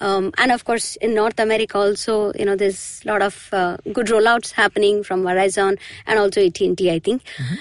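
A woman with an Indian accent speaks at a fairly high pitch with ordinary pitch variation. Her pace is fairly quick, and the sound is dry and close with no echo. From Mumbai, India. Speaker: tech delivery lead. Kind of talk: interview. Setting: studio.

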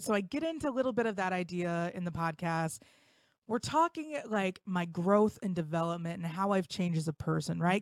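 A woman speaks at a medium pitch with a Midwestern accent. The sound is dry and close, with no echo. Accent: general American, Midwestern. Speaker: podcast host. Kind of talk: casual chat. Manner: halting.

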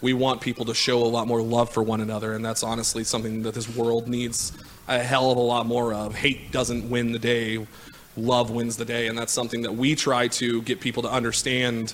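A man at medium pitch with an American accent, fairly quick pace and monotone, flat intonation, over noticeable background noise. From Kansas City, Missouri. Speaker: director of operations. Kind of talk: casual chat. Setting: studio.

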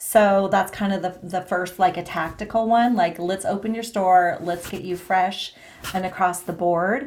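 A woman with a normal speaking voice talks at a fairly slow pace, keeping a medium pitch and fairly even intonation. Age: 50s. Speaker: former sales director, meetup organizer. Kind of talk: casual interview chat.

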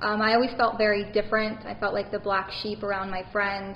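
Noticeable background noise sits behind a woman's voice. She speaks fairly quickly at medium pitch. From Baton Rouge, Louisiana. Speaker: psychic medium. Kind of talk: interview.

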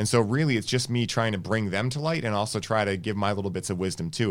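A man's fairly low voice at a very fast pace with ordinary pitch variation. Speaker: wellness podcast host. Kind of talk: casual interview. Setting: studio.

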